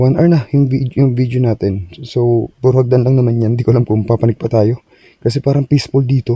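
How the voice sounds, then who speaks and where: Dry and close with no echo, a man's somewhat breathy, dark, mellow voice sits at a medium pitch, moving at a fairly quick pace with fairly even intonation. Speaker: ghost-hunting vlogger. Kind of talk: night exploration vlog. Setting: outdoors at night on forest stairs.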